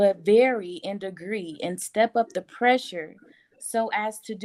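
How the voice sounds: Natural reading in a quiet setting.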